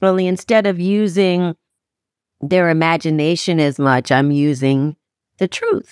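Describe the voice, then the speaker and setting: A woman speaks with a plain, everyday voice at a fairly low pitch. Her pitch varies in an ordinary way and her loudness stays very even. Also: fairly slow pace, dry, close sound with no echo. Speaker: audiobook narrator. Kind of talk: interview.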